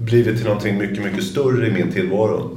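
With audible room echo and noticeable background noise, a man speaks in a fairly low voice. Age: 50s. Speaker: company founder and CEO. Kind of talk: interview conversation. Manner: halting, many repetitions and fillers.

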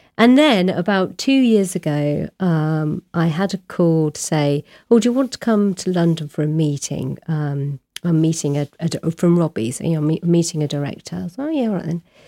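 Dry and close with no echo, a woman's fairly low, dark, mellow voice moves at a moderate pace with lively intonation. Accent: southern English. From southern England, Oxfordshire. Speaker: novelist. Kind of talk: interview.

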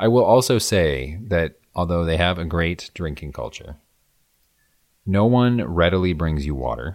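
A man talks at a moderate pace in a very deep, low voice with lively intonation. The recording is very clean, with a silent background. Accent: Midwestern. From US Midwest. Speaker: podcast co-host. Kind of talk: casual chat. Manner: clear enunciation.

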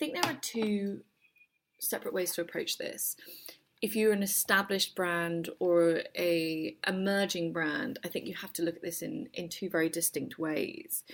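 In a very clean recording with a silent background, a woman speaks at a medium pitch with a British accent. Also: ordinary pitch variation, moderate pace. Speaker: agency managing director and co-founder. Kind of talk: interview.

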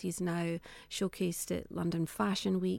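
In a very clean recording with a silent background, a woman talks with a Scottish accent in a monotone, flat intonation. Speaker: fashion entrepreneur. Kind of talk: radio interview.

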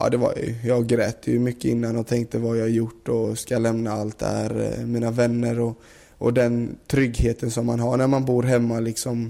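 The voice has a dark, mellow tone and a monotone, flat delivery. It moves at a moderate pace with hardly any pauses. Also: man, medium pitch for a man. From Sweden, Gothenburg area. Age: 20s. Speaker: professional footballer. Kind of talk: interview.

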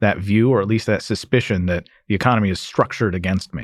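This is a man with an ordinary speaking voice. His pitch is fairly low, with ordinary pitch variation. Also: very clean recording, silent background. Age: young. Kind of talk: interview.

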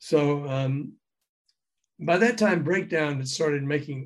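A man speaks at a very slow pace with a fairly high pitch and ordinary pitch variation. His voice is somewhat breathy. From US South, Memphis. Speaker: former radio DJ and music promoter, author. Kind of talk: interview, storytelling.

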